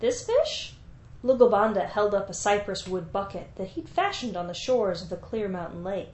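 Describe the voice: Text read aloud plainly.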